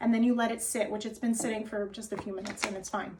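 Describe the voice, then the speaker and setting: Against noticeable background noise, a woman with a New Jersey accent speaks in an animated tone at a fairly high pitch. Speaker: wellness and diet coach. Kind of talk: cooking tutorial.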